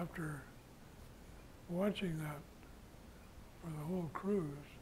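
A man with a fairly high pitch talks in fairly even intonation, and noticeable background noise can be heard. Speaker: war veteran. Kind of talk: interview. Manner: halting. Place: home room. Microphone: lapel.

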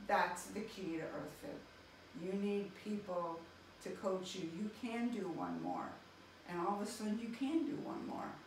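A woman speaks at a fairly slow pace with ordinary pitch variation, amid audible room echo and light background noise. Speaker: physical therapist. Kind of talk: testimonial interview answer. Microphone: camera far.

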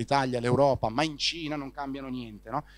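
Man's fairly high-pitched voice with fairly even intonation, in a dry sound with no echo. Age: 30s. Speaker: startup founder and CEO of a news platform; CEO of a news platform. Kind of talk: interview. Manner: halting, frequent fillers and repetitions. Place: hall. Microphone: handheld.

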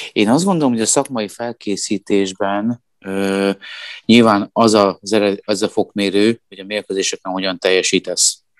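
A man's normal speaking voice, fairly low with fairly even intonation, at a fairly slow pace, dry and close with no echo against a quiet background. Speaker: handball pundit. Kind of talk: casual chat.

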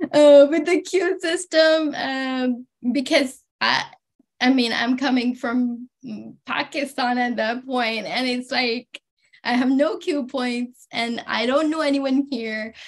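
A woman with a high voice speaks very slowly, using long, frequent pauses and ordinary pitch variation. The background is quiet. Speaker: PhD student; webinar panelist. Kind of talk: panel discussion. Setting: video call. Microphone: video call.

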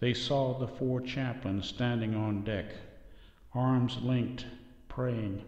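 The speaker's tone is solemn and somewhat breathy, with fairly even intonation. The pace is very slow, with long, frequent pauses. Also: man, medium pitch for a man. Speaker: narrator. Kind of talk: history documentary narration. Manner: solemn, measured and formal, with a steady reverent tone that builds drama.

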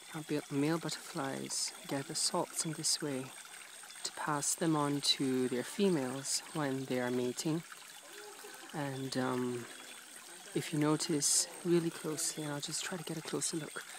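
A man's fairly high voice at a fairly slow pace, with fairly even intonation, a dry sound with no echo and noticeable background noise. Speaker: PhD researcher doing fieldwork. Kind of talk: nature documentary-style commentary to camera. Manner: whispered, soft-spoken. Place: waterside. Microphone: phone near.

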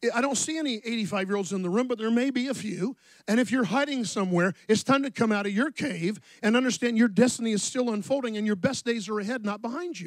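Over a quiet background, a man talks very fast in a high pitch with ordinary pitch variation, the sound dry with no echo. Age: 60s. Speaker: pastor. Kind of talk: sermon. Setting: church. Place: church. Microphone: handheld.

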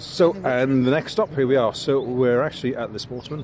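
There is light background noise behind a man's voice. No echo colors the dry sound. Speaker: amateur cyclist vlogger. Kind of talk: casual vlog chat. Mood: cheerful, upbeat. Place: street. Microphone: phone near.

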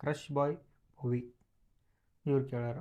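Dark and mellow in tone, a man's somewhat breathy voice sits fairly high in pitch and stays monotone and flat. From North Karnataka, Bijapur district. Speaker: couple vlogger. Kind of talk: casual Q&A vlog.

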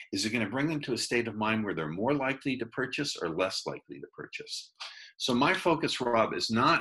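Against a quiet background, a man with a bright, sharp tone and vocal fry talks at a fairly quick pace. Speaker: remote interview guest, speaker. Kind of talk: interview answer. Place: home room. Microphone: video call.

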